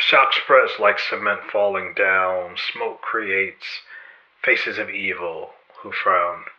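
A man talks at a very slow pace with noticeable background noise behind him. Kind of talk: spoken word poem. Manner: rhythmic, rhyme-driven delivery; solemn, dramatic, building to a slow repeated 'falling, falling, fall'.

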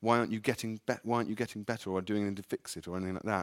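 A man in an English accent with lively intonation, on a very clean recording with a silent background and a dry, close sound with no echo. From England. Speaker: author. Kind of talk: live literary conversation. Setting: stage with audience.

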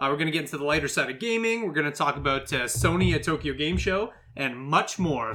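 A man's fairly high voice with lively intonation, fairly quick pace and hardly any pauses, over noticeable background noise. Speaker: gaming podcast host. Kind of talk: casual chat. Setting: podcast recording.

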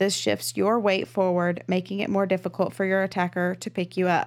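Speaking with a Texan accent at medium pitch, a woman is heard on a very clean recording with a silent background. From Texas. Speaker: true crime podcast co-host. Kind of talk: casual storytelling chat. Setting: studio, in person.

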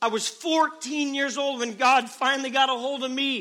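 Raised and projected, a man's extremely high voice has a bright, sharp tone at a fairly slow pace. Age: 30s. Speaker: preacher. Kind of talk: revival sermon to young people, preacher in full flow. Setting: church revival service. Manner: fervent, rising exhortation with hammering repeated calls; earnest, urgent and direct address to the crowd.

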